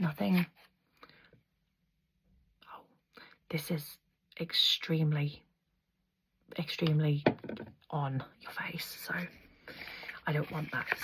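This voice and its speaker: A soft-spoken, somewhat breathy woman talks at a very slow pace with a very deep, low pitch, a gentle tone and fairly even intonation. Her speech has long, frequent pauses and big swings in loudness. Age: 30s. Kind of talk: ASMR makeup tutorial, casual talk to camera. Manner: soft-spoken, gentle.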